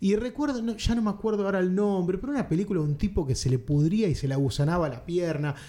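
A man speaks at a very fast pace in a high voice with lively intonation. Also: hardly any pauses. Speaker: film podcast host. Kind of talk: casual chat.

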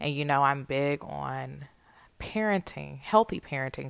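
A woman at a moderate pace with a Southern US accent, on a very clean recording with a silent background. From US South, Atlanta, Georgia. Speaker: podcast host, author. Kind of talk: personal monologue. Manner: casual, conversational.

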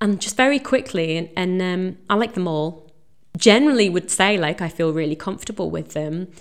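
In an unremarkable speaking voice of medium pitch, a woman talks at a fairly quick pace with lively intonation, on a very clean recording with a silent background. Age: 30s. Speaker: podcast host. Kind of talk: casual chat. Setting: recording intro at workplace on coffee break.

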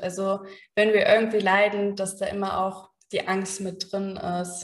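A woman talks at a very slow pace and a medium pitch. Her intonation is monotone and flat. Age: 30s. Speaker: psychologist. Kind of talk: interview.

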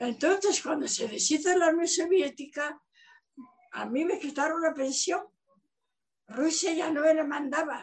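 An extremely high-pitched woman's voice at a fairly slow pace, with ordinary pitch variation and long, frequent pauses. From Asturias, Spain (Gijón); raised in the Soviet Union from age 9. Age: 90s. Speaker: retired professor. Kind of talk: testimony.

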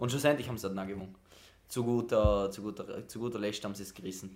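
Very fast speech in a South Tyrolean accent, ordinary pitch variation, and audible room echo. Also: man. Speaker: podcast co-host. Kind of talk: casual chat.

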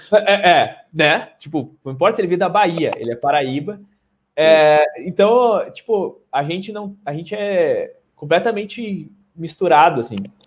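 Lively intonation marks this man's high-pitched speech. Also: fairly slow pace. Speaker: podcast host. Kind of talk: casual chat.

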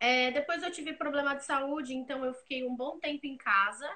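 Raised and projected, a woman's voice comes through high in pitch with a bright, sharp tone at a moderate pace. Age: 20s. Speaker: graphic designer. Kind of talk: casual interview chat. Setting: live video stream.

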